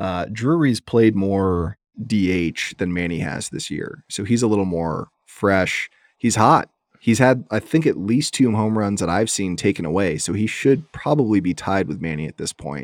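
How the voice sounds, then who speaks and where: An unremarkable speaking voice from a man, fairly low in pitch, with lively intonation at a moderate pace, on a very clean recording with a silent background. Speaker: sports podcast host. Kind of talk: casual chat.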